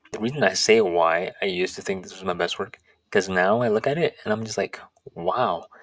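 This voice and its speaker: A man's plain, everyday voice, fairly low in pitch, with lively intonation. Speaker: YouTuber. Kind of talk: casual chat.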